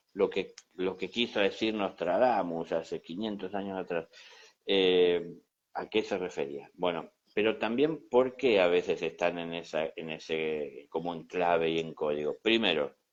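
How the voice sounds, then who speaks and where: A man at a fairly slow pace over a quiet background. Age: 60s. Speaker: spiritual teacher. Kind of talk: conversational teaching talk. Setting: Instagram live conversation.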